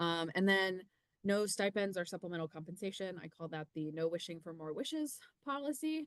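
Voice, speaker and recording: Against a quiet background, a woman speaks with a fairly low pitch. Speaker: university research administrator. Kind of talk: informational webinar presentation. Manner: hesitant, many filler ums. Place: home room. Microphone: webcam.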